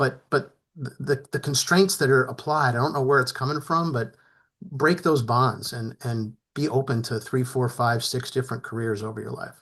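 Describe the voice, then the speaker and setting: An unremarkable speaking voice: a man with an American accent, medium pitch, ordinary pitch variation and a moderate pace against a quiet background. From New Jersey. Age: 60s. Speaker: retired business executive, panelist. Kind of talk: panel discussion.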